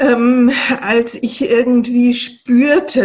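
This woman speaks with a high-pitched voice. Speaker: social worker and coach. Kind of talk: interview. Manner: animated.

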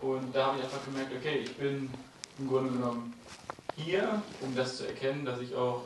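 A man's medium-pitched voice comes through audible room echo and noticeable background noise. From Germany, Hameln near Hannover. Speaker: audience member, financial education. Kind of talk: audience remarks at a talk. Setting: audience with handheld microphone.

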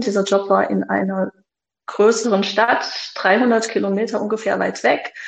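Her voice sits at a medium pitch. The woman talks at a fairly slow pace. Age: 40s. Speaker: mother of three, former partner of a toxic ex. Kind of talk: interview about personal experience. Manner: hesitant, many fillers.

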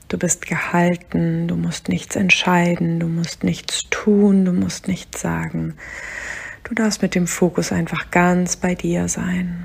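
The delivery is very slow, with a calm, soothing tone. Noticeable background noise is present. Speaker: meditation guide. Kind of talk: guided meditation. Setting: solo recording, podcast episode. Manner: slow, calm, soothing; gentle, unhurried, counting breaths aloud.

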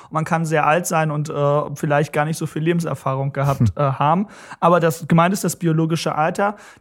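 In a very clean recording with a silent background, a man with an ordinary speaking voice talks at a fairly quick pace. His pitch is fairly high and his intonation fairly even. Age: 20s. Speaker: young politician. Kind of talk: interview.

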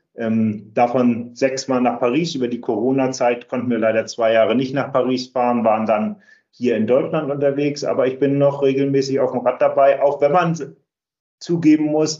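A man speaks at a medium pitch with fairly even intonation. His pace is moderate, and it's a plain, everyday voice. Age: 60s. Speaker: charity cycling team captain. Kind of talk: interview.

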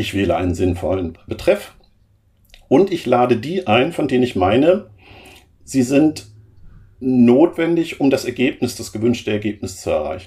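A man with a dark, mellow, somewhat breathy tone speaks at a moderate pace, his pitch swinging very widely, with long, frequent pauses. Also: medium pitch for a man. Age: 50s. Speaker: program manager in energy grid transformation. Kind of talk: interview.

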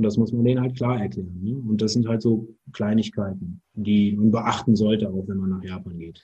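This man speaks at a moderate pace with a fairly low pitch, a somewhat breathy, dark, mellow tone and fairly even intonation. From Germany, Cologne area. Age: 40s. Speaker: business travel organizer. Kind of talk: interview.

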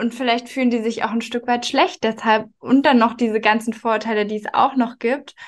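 A woman with a normal speaking voice, fairly high pitch, fairly even intonation, moderate pace and hardly any pauses. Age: 20s. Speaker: marketing manager. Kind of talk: interview.

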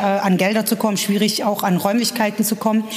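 A woman's medium-pitched, monotone voice with flat intonation over noticeable background noise. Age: 30s. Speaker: patient with myasthenia, support group member. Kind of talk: interview. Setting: support group meeting.

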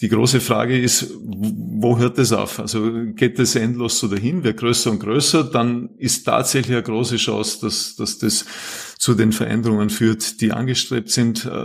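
A man's normal speaking voice at a medium pitch, fairly slow pace and fairly even intonation. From Austria, Vorarlberg. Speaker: climate policy professor. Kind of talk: casual interview.

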